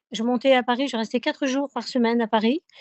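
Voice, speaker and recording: A woman speaks in a southern French accent. Her pitch is high and her intonation fairly even. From southern France. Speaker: singer. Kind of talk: radio interview. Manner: hesitant, many fillers.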